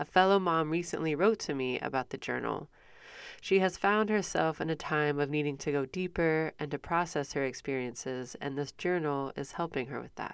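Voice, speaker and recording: Speaking at a moderate pace with a Midwestern American accent, a woman has a very deep, low pitch and ordinary pitch variation. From US Midwest. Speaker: podcast host. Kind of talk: casual interview chat.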